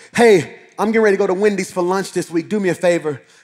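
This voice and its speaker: In a high pitch, a man speaks over a quiet background. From Alabama, Birmingham. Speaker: senior pastor. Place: church.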